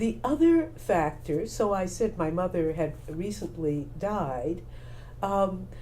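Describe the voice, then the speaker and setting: A woman speaks very slowly with an American accent. Room echo is audible. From Texas, Houston. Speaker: playwright, former broadcaster and actor. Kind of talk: interview. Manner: measured, with hesitations.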